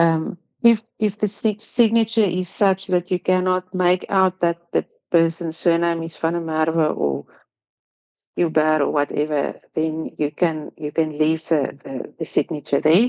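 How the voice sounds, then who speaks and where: At a fairly slow pace, a woman with a non-native accent speaks at a fairly low pitch with ordinary pitch variation. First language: not English. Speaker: pharmacy council assessor. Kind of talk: online workshop presentation. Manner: hesitant, many fillers and repetitions.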